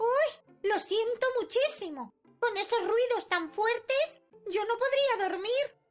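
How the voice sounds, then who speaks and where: A female-sounding, put-on character voice speaks at an extremely high pitch. The pace is fairly slow, with faint music in the background. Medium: read story. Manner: coquettish, haughty.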